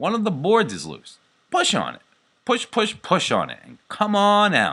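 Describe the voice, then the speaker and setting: On a very clean recording with a silent background, a man uses a put-on character voice with a high pitch. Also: moderate pace. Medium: read story. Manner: repeats words.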